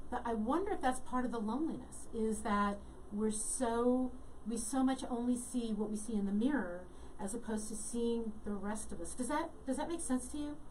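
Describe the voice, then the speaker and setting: A woman at a moderate pace, with fairly high pitch, ordinary pitch variation, audible room echo and noticeable background noise. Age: 60s. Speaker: talk show host and astrologer. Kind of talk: interview.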